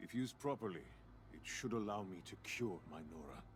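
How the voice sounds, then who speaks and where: In a put-on character voice, a man talks at a fairly quick pace with very deep, low pitch and big swings in loudness over clear background noise. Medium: video game. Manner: formal, cold.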